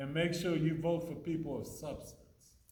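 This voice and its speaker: A man's high voice at a moderate pace, with audible room echo and noticeable background noise. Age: old. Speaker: city mayor. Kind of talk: Q&A talk to students after a play.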